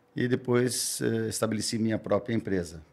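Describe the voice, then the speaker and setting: Fairly even intonation marks a man's medium-pitched voice. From southern Brazil, Santa Catarina. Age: 70s. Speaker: mayoral candidate. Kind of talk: radio interview. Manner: halting, with self-corrections.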